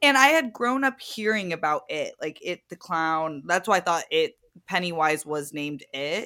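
A woman's fairly low-pitched, animated voice at a moderate pace, bright and sharp in tone with very wide pitch swings, in a very clean recording over a silent background. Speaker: podcast co-host, self-described horror scaredy cat. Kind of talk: casual chat. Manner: giggly, animated.

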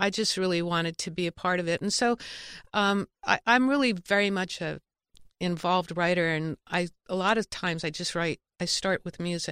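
A woman with an American accent and an unremarkable speaking voice, fairly low-pitched with ordinary pitch variation, moderate pace, dry, close sound with no echo, in a very clean recording with a silent background. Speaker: songwriter. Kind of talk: interview.

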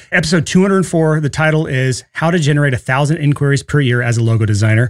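A man with a fairly high voice talks very fast in an animated tone, his pitch varying in an ordinary way. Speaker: podcast host. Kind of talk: solo podcast episode. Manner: fast talker; animated, excitable.

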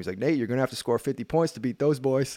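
A man speaks with ordinary pitch variation. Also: very clean recording, silent background. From Nova Scotia, Canada. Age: 20s. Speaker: professional basketball player. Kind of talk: casual chat. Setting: studio.

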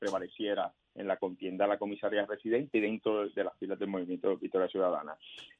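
Fairly low in pitch, a man speaks with a Puerto Rican accent. His intonation stays fairly even. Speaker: political candidate. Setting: phone call. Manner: formal, emphatic.

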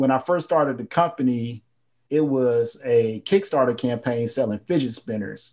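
The speaker has an American accent and a dark, mellow tone, moving at a moderate pace. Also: man. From North Carolina. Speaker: entrepreneur and author. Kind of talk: interview.

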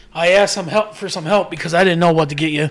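A man's voice with ordinary pitch variation, noticeable background noise behind it. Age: 40s. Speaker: podcast co-host. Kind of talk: casual chat.

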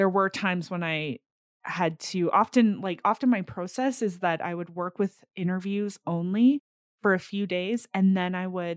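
A woman with a Canadian accent uses an ordinary speaking voice at a medium pitch, speaking at a moderate pace with ordinary pitch variation in a dry, close sound with no echo. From Alberta, Canadian prairies. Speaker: author and oral historian. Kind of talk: interview.

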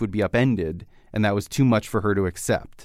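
A man speaks at a medium pitch in a plain, everyday voice. The recording is very clean with a silent background. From Canada. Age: young. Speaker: podcast host. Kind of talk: interview.

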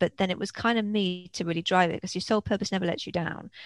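A woman with an English accent speaks at a very fast pace and medium pitch, her intonation fairly even. The sound is dry and close with no echo, over a quiet background. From England (Worcestershire, Wales, London). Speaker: film festival consultant and author. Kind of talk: interview conversation.

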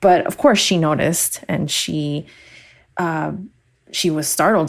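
Her voice very deep and low, a woman speaks at a fairly slow pace with fairly even intonation. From Miami. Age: 20s. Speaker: social worker. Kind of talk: personal testimony.

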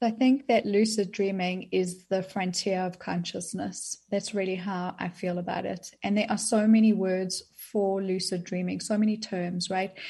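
A woman talks with a South African accent in a dark, mellow, somewhat breathy tone. Her intonation stays fairly even against a quiet background. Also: medium pitch for a woman, moderate pace, hardly any pauses. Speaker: author on dreams. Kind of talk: interview.

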